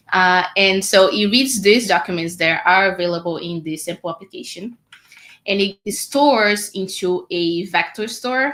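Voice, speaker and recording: A woman with a Portuguese accent, fairly low in pitch, at a fairly slow pace. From Brazil. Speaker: developer advocate. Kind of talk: technical code demo.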